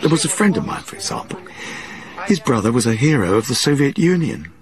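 With noticeable background noise behind him, a man speaks very fast at a fairly high pitch, his voice swinging very widely in pitch and greatly in loudness. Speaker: former Gulag prisoner, interviewee (voiced in English over Russian). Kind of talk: interview answer. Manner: anguished, reflective.

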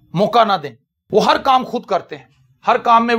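The speaker here is a man. There's ordinary pitch variation in his delivery. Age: 40s. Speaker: pastor. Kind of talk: sermon.

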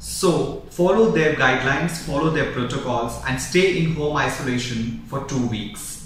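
Male speaker at a moderate pace, with audible room echo and light background noise. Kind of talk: health advice talk to camera.

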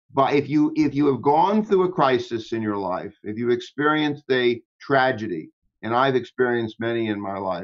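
A man speaks at a moderate pace with big swings in loudness against a quiet background. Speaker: interview guest. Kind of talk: interview answer. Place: home room. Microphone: video call.

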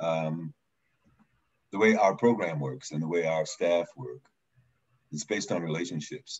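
Against a quiet background, a man with a very deep, low pitch and ordinary pitch variation speaks at a fairly slow pace with long, frequent pauses. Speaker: government program staff. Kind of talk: community meeting discussion. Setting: video call. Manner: halting. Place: home room. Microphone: video call.

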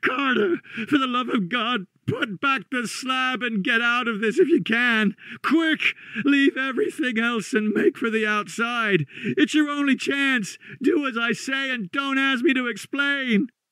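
Putting on a character voice, a man speaks at an extremely high pitch in a bright, sharp tone that sounds hoarse, shaky and strained, at a fairly slow pace. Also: ordinary pitch variation, dry, close sound with no echo, few pauses.

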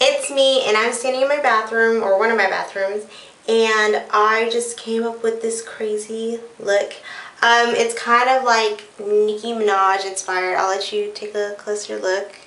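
A woman speaks fairly slowly in a monotone, flat intonation, with audible room echo around her. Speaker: beauty vlogger. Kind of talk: casual vlog chat. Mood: playful, a bit unsure. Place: bathroom. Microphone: phone near.

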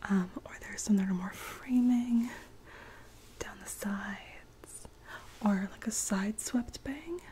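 Soft-spoken and fairly slow, a woman talks with ordinary pitch variation over light background noise. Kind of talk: roleplay, soft personal attention talk. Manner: soft-spoken, close-mic ASMR voice. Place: home room. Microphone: studio mic.

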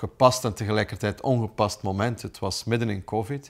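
Speaking in a Flemish accent, a man uses a fairly low pitch and fairly even intonation. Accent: Flemish Dutch. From Flanders, Belgium. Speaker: businessman and dog owner. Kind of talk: interview testimony; interview answer. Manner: hesitant with fillers. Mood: warm, reflective. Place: home room.

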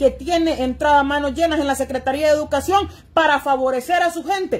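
A woman speaks at a high pitch in an animated tone. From Honduras. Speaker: political commentator. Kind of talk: political monologue. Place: home room. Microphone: phone near.

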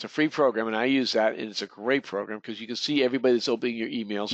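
With an American accent and a medium pitch, a man talks at a very fast pace with ordinary pitch variation, in a dry, close sound with no echo and a quiet background. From Boston area. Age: 50s. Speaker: real estate coach. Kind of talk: webinar lecture. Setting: online webinar.

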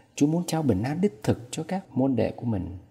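A man speaks with a dark, mellow tone and a somewhat breathy quality. His pitch swings very widely. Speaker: priest. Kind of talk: homily.

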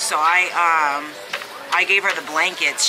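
Noticeable background noise accompanies a woman's fairly low pitch and ordinary pitch variation. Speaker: parent vlogger. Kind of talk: casual vlog chat. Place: cafe. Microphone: phone near.

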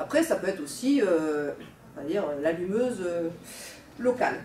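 A woman's voice with very wide pitch swings, audible room echo and light background noise. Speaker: lecturer on medieval texts. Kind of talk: lecture. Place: classroom. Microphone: camera far.

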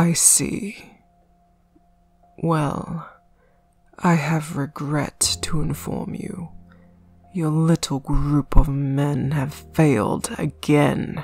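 A put-on character voice with a menacing tone, low-to-middle pitch and a very slow pace, long, frequent pauses, and faint music in the background. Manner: cold, condescending, menacing.

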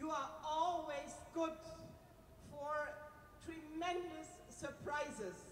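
A woman with a German accent speaks in an extremely high pitch at a very slow pace, with ordinary pitch variation and long, frequent pauses. Audible room echo and light background noise surround her voice. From Germany. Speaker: politician. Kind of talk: speech. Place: stage. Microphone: handheld.

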